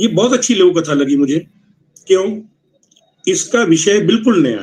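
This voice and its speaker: A man with a Punjabi accent talks in a high pitch with lively intonation. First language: Punjabi (speaking Hindi). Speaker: literary critic and ghazal poet. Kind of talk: literary review at a writers' meeting. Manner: conversational.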